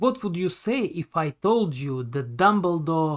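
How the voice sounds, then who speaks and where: A speaker with a non-native accent talks fairly slowly in a very clean recording with a silent background. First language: not English. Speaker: YouTube film commentator. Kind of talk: scripted narration.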